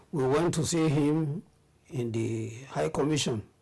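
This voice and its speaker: With a dark, mellow tone, a somewhat breathy man speaks at a moderate pace with ordinary pitch variation. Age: 70s. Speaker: retired teacher, coach and politician. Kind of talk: interview answer.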